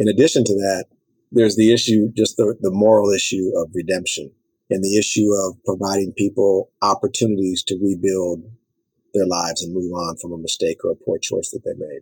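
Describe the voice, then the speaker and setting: Speaking fairly quickly with an American accent, a man uses an unremarkable speaking voice, fairly low in pitch, with fairly even intonation. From South Central Los Angeles, US. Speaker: nonprofit director and former prisoner. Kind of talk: interview.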